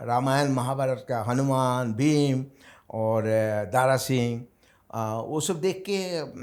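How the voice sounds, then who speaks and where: A man speaks at a very slow pace with a medium pitch and ordinary pitch variation. The recording is very clean, with a silent background. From Assam, India. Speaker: bodybuilder. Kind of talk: interview. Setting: studio. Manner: hesitant, with many fillers.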